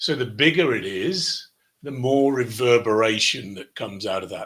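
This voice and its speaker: With a British accent, a man speaks at a medium pitch and a moderate pace. His tone is bright and sharp, and his intonation lively. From United Kingdom. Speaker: business coach, show host. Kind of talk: webinar presentation. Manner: repetitive false starts.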